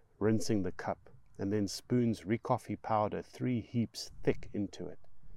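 What we hear is a natural reading voice.

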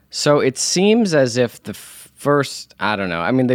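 In a very clean recording with a silent background and a dry, close sound with no echo, a man with an unremarkable speaking voice and medium pitch talks with lively intonation. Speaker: actor and law student, Star Wars fan. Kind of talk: casual chat.

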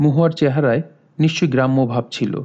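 A man's fairly high voice in a dark, mellow tone, with ordinary pitch variation. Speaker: audiobook narrator. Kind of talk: reading aloud.

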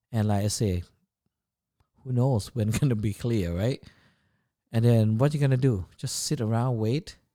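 A man with a Thai accent speaks at a moderate pace and medium pitch, with a dark, mellow tone and ordinary pitch variation. Long, frequent pauses break up his speech on a very clean recording with a silent background. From Thailand, Chiang Mai. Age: 40s. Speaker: chef and food business owner. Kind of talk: casual interview. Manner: halting, many fillers.

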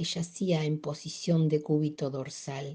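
A woman speaks at a very slow pace, somewhat breathy, with a dark, mellow tone. The background is quiet. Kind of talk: audiobook-style literary reading aloud of a short story. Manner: formal, clear, storyteller cadence.

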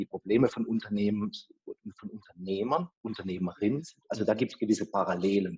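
Speaking in a normal speaking voice, a man uses a fairly low pitch and ordinary pitch variation at a fairly quick pace, with a dry, close sound with no echo. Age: 40s. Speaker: venture capital investor. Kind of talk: interview.

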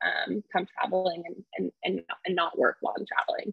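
Her voice is medium-pitched, a woman with an American accent. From California, Fresno area. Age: 20s. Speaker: solo traveler and speech-language pathologist. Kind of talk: interview, casual chat.

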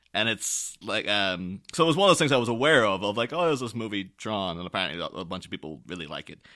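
A man with an Irish accent and fairly low pitch talks at a very fast pace, with hardly any pauses, very wide pitch swings and big swings in loudness. His tone is bright and sharp, and the recording is very clean, with a silent background. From Ireland, small town. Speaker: podcast guest co-host. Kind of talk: casual chat.

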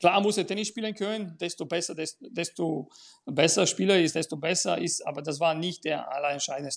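Fairly quick, high-pitched male speech with normal rise and fall. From Bulgaria. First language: Bulgarian (speaking German). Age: 50s. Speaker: tennis school owner and coach. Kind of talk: casual chat.

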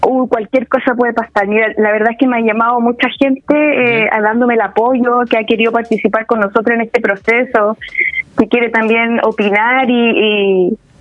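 A woman with a fairly high voice speaks at a moderate pace with fairly even intonation and very even loudness over noticeable background noise. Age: 30s. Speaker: political candidate and community organizer. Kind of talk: interview.

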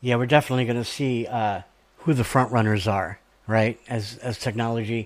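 An American accent with fairly even intonation, an ordinary speaking voice. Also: man, medium pitch for a man. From South Georgia, US. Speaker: radio show co-host. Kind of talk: casual interview.

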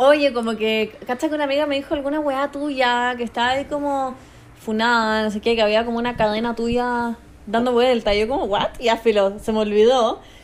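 Speaking at a moderate pace with a Chilean accent, a woman uses a high pitch and fairly even intonation. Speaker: influencer. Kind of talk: casual chat.

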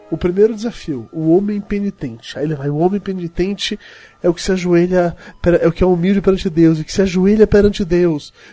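Speaking at a fairly quick pace, a man has a high pitch, a dark, mellow tone and ordinary pitch variation. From Bahia interior, Brazil. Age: 40s. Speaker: podcaster. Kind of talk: casual chat.

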